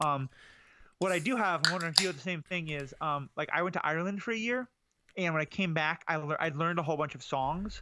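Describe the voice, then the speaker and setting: In a very clean recording with a silent background, a man talks fairly quickly in a high, bright, sharp voice with ordinary pitch variation. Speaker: podcast co-host. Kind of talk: casual chat.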